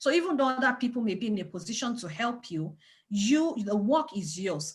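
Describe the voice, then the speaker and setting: A somewhat breathy woman with a strong non-native accent, very wide pitch swings and a moderate pace. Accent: thick foreign. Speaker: parenting organization leader. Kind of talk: webinar talk. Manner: animated, repetitive emphasis.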